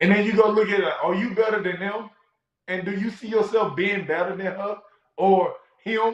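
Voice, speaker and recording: A man speaks at a moderate pace in a high pitch with an animated tone. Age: 20s. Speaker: sports talk show host. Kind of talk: casual chat. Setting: live stream.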